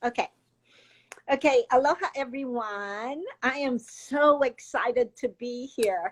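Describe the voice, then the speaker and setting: A high-pitched woman at a fairly slow pace, with long, frequent pauses and ordinary pitch variation. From Hawaii, Kauai. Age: 60s. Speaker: interview guest. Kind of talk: casual interview.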